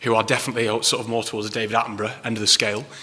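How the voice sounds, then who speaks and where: A man with a Manchester accent, medium in pitch, against noticeable background noise. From northern England, Manchester. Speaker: council climate officer. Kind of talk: public talk. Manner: hesitant, many ums.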